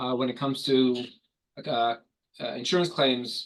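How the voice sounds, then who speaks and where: A man with a New York accent talks at a medium pitch. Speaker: corporate trainer and public adjuster. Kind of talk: online corporate training. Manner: fast.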